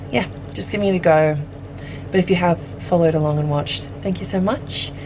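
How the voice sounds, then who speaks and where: A woman speaks very fast with an Australian accent, her pitch very deep and low. Her pitch varies in an ordinary way, and noticeable background noise sits behind her. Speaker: pottery studio manager and ceramic artist. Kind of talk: casual vlog narration. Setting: pottery studio. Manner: casual with frequent fillers. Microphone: camera without external microphone.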